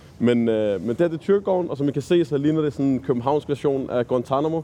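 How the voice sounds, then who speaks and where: Talking very fast, a man with a fairly high pitch and a dark, mellow tone uses lively intonation. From Copenhagen, Nørrebro. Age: 20s. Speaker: volunteer tour guide, student. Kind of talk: guided walking tour. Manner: halting, many fillers.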